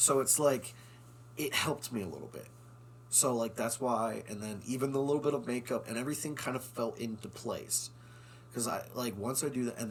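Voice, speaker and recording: A man speaks at a medium pitch and a moderate pace, with ordinary pitch variation. Vocal fry runs through his voice. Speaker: actor. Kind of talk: casual chat.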